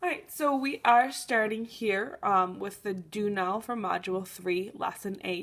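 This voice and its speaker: This woman has an ordinary speaking voice at a medium pitch, with ordinary pitch variation. She speaks at a fairly slow pace with hardly any pauses, in a very clean recording with a silent background. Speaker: math teacher. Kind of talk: tutorial. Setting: recorded on an iPad. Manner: casual, with many fillers.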